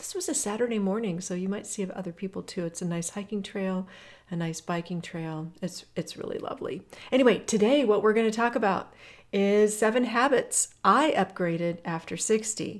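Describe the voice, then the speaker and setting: On a very clean recording with a silent background, a woman with a normal speaking voice and medium pitch talks at a moderate pace with ordinary pitch variation. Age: 60s. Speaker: fitness coach. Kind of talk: guided workout walk talk. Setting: outdoors on a hiking trail. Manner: casual, encouraging.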